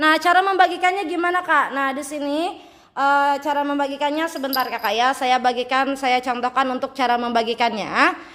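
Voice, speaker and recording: Shrill and high-pitched, a woman talks at a fairly quick pace in an animated tone, with ordinary pitch variation and hardly any pauses. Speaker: live-stream seller. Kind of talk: sales pitch. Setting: live stream.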